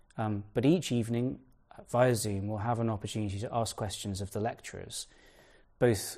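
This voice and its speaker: A man's plain, everyday voice, fairly low for a man, fairly quick, with fairly even intonation. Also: quiet background. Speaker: event organizer. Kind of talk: formal introduction. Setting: video call.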